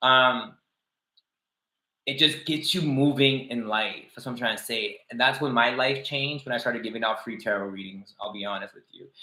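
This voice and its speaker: At a moderate pace, a man with a non-native accent speaks at a medium pitch with ordinary pitch variation and big swings in loudness. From outside Canada, poorer country. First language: not English. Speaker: tarot reader. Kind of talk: livestream tarot reading. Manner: casual, halting with false starts.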